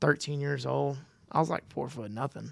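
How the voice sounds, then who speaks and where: Recorded dry and close with no echo over a silent background on a very clean recording, a man of fairly high pitch speaks at a moderate pace. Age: 30s. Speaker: professional bull rider. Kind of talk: casual chat.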